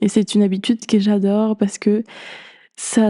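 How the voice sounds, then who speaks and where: A woman with a non-native accent speaks at a fairly high pitch in a dark, mellow tone, recorded with a dry, close sound and no echo. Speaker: podcast host. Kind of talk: podcast monologue.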